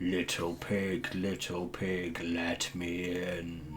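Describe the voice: Over clear background noise, a man in a put-on character voice speaks at a very slow pace with a menacing tone.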